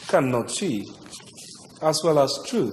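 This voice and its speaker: A man speaks with ordinary pitch variation. Noticeable background noise sits behind him. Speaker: TV morning show presenter. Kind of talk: poetry reading.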